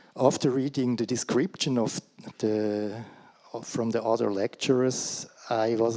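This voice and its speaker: The speaker has a Swiss accent and a fairly slow pace. The intonation stays fairly even. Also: man. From Switzerland. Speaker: career guidance practitioner. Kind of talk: conference talk read from paper. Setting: conference stage. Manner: hesitant, with fillers.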